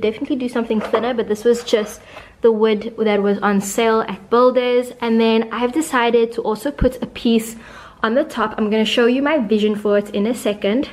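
A woman speaks at a fairly quick pace in a monotone, flat intonation. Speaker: home decor vlogger. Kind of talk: tutorial. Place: home room.

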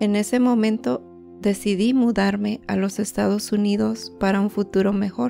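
Music sits in the background behind a woman with a Mexican accent. She talks at a fairly slow pace. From Guerrero, Mexico. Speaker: healthcare worker. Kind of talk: personal digital story narration.

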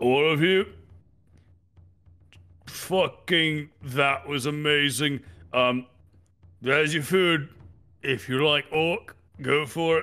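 A man's put-on character voice, fairly high in pitch, delivered in a menacing tone at a very slow pace. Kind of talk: rowdy tabletop character voice. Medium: actual play. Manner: menacing toward enemies, crude and boisterous.

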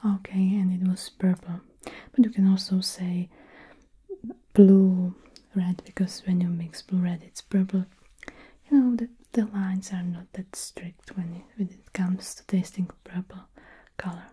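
Soft-spoken and somewhat breathy, a woman speaks in a deadpan, monotone, flat tone at a fairly slow pace with long, frequent pauses. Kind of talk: soft roleplay talk to the viewer. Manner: soft, close, deadpan ASMR murmur.

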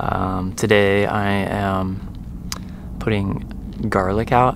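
A man's fairly low voice with fairly even intonation, dry with no echo, over noticeable background noise. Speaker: vehicle dweller vlogger. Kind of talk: casual vlog chat. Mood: amused, mildly exasperated. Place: open country. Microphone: phone near.

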